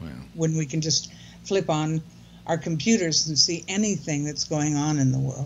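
A woman with a very deep, low, somewhat breathy voice, moderate pace and ordinary pitch variation, light background noise around her. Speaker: blogger on aging. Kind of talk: casual chat. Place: home room. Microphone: video call.

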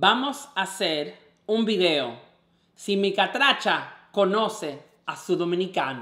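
In a raised, projected voice, a man speaks at a high pitch and a very slow pace, with audible room echo over a quiet background. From Dominican Republic. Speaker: vlogger host. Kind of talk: casual talk to camera. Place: home room.

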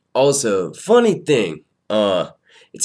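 A fairly high-pitched man with very wide pitch swings against a quiet background. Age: 30s. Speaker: aspiring comedian and vlogger. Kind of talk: casual vlog update. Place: home room. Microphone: webcam.

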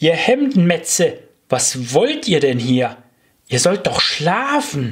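A man's squeaky, put-on character voice, high-pitched with very wide pitch swings, at a very slow pace and very even loudness. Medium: read story. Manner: fussy, indignant, stern.

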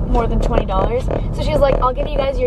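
A woman speaks in a dry recording with no echo while music plays in the background. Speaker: vlogger. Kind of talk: casual vlog chat. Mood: relaxed and chatty. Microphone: phone near.

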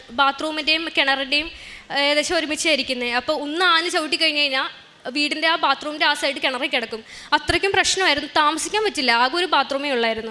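Against noticeable background noise, a woman projects a raised, high voice with ordinary pitch variation and very even loudness. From Kerala, Ernakulam district. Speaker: nurse. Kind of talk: testimony.

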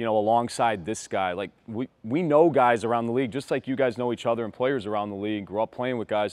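A man's voice with ordinary pitch variation, in a dry sound with no echo. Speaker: basketball coach. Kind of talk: casual chat and team address. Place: gym. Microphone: lapel.

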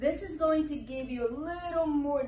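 A woman speaks at a fairly slow pace with lively intonation. Audible room echo and light background noise surround her voice. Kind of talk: tutorial. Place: gym. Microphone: camera far.

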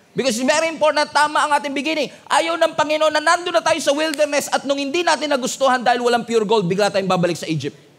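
Speaking at a very fast pace with hardly any pauses, a man uses an extremely high pitch and an animated tone. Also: ordinary pitch variation. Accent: Filipino. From Philippines. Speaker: pastor. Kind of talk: sermon. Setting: church with congregation. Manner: animated, call-and-response; emphatic, rousing. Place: church. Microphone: headset.

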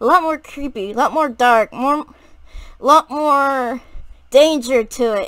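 Speaking at a fairly slow pace, a woman has a high pitch and ordinary pitch variation. The sound is dry with no echo, over a quiet background. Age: 20s. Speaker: gaming YouTuber; vlogger. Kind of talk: casual vlog monologue; casual vlog chat. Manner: halting. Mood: warm, fond, enthusiastic. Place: home room. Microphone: webcam.

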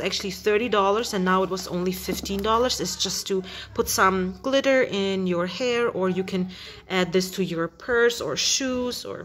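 A woman talks at a very slow pace. Light background noise sits behind her. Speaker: haul vlogger. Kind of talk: casual vlog chat. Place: kitchen. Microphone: phone near.

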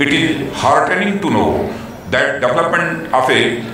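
A man's voice comes through with strong room echo and light background noise. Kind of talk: formal speech. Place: stadium.

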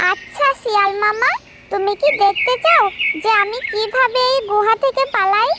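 A cartoonish character voice at an extremely high pitch talks at a fairly slow pace over light background noise. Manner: calm and polite.

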